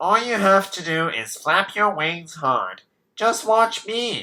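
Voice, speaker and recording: This man's voice is a put-on character voice pitched high. His delivery is fairly slow. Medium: read story.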